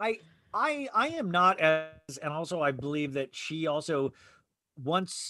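With music in the background, a man talks at a fairly high pitch in an American accent. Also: ordinary pitch variation, fairly slow pace. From Arizona. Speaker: podcast guest, reality TV fan. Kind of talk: casual chat.

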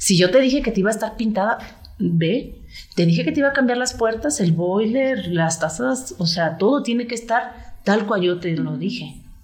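A woman's medium-pitched voice with vocal fry and lively intonation at a moderate pace, with audible room echo. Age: 50s. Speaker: real estate agent. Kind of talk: interview conversation.

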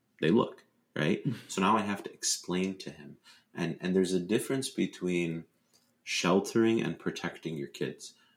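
A man with an American accent and a very deep, low pitch speaks at a moderate pace, showing ordinary pitch variation and big swings in loudness. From US, Dearborn Michigan, Lebanese heritage. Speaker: motivational speaker and Islamic preacher. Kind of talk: interview.

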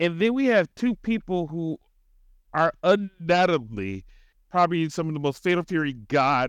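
The voice has an animated tone and lively intonation at a moderate pace. The sound is dry and close with no echo. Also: man, high pitch for a man. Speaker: podcast co-host. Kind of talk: casual chat. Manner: animated, profane.

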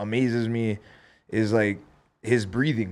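At a medium pitch, a man talks at a very slow pace. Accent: Hawaiian. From Hawaii, Big Island (Hilo). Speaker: professional MMA fighter. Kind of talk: casual chat.

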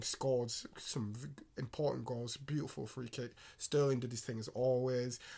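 A man speaks in a flat monotone at a moderate pace. His voice is somewhat breathy and medium in pitch. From England. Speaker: podcast co-host. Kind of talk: casual chat.

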